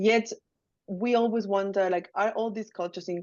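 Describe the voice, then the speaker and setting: With a Chilean accent, a woman speaks fairly quickly at a medium pitch, her intonation fairly even. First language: Spanish. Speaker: academic researcher. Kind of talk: academic webinar presentation. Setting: video call.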